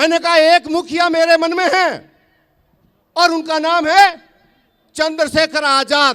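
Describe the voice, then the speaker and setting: A man speaks in an extremely high pitch with a bright, sharp tone and a raised, projected voice. His delivery is flat and monotone, broken by long, frequent pauses. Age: 60s. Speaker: farmer leader and activist. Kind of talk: political rally speech. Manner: loud, fiery oratory.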